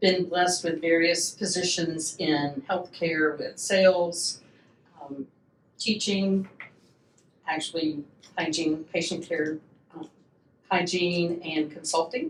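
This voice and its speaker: A woman's fairly low voice with a Southern US accent, at a fairly slow pace with fairly even intonation. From US South, Atlanta, Georgia. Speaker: patient coordinator. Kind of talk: casual podcast chat.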